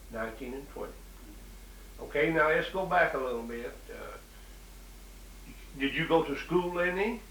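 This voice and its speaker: A man speaks in an Appalachian accent at a moderate pace, with long, frequent pauses. His loudness swings widely against noticeable background noise. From Southwest Virginia, Appalachia. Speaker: interviewer.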